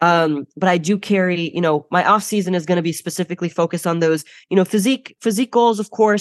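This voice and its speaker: In a Chicago accent, the voice moves at a very fast pace with ordinary pitch variation. The sound is dry and close with no echo, over a quiet background. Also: woman. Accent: Chicago American. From US Midwest, Chicago. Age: 20s. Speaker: bodybuilding champion and coach. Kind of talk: casual interview chat.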